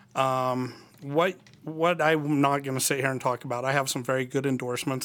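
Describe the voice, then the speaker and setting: A man with an American accent talks at a moderate pace and medium pitch. He has an unremarkable speaking voice with fairly even intonation. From Annabella, Utah. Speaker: political candidate. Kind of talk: debate. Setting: studio.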